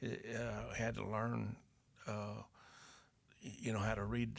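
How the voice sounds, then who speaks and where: Someone speaks at a moderate pace with an Arkansas accent. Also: man. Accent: US Southern (Arkansas). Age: 70s. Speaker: retired farmer and carpenter, father of the host. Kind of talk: casual chat. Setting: workshop. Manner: halting.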